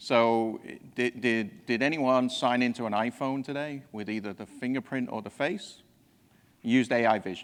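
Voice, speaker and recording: A man speaks with a slight English accent. His intonation is fairly even. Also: medium pitch for a man, moderate pace, quiet background. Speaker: technology executive presenting at a conference. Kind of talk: conference presentation. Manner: halting, with frequent repetitions.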